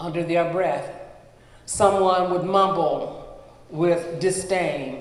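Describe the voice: What is heard here is plain reading aloud.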